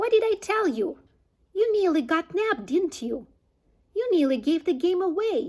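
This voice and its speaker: In a put-on character voice, a woman speaks at an extremely high pitch, squeaky and shrill, at a moderate pace with long, frequent pauses. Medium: read story.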